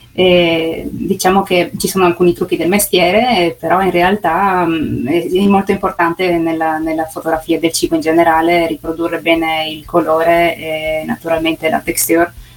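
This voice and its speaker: Noticeable background noise sits behind a woman speaking at a moderate pace with hardly any pauses. Her intonation is monotone and flat. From Carso near Trieste, Friuli Venezia Giulia, Italy. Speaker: food photographer and pastry maker, tourism ambassador. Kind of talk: remote radio interview. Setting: remote link. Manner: halting, with many fillers and repetitions.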